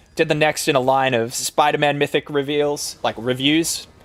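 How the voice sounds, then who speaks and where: A fairly high male voice with an Australian accent at a moderate pace, over music in the background. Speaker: gaming streamer. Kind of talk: casual live stream chat. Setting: live stream. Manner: casual, filler-heavy.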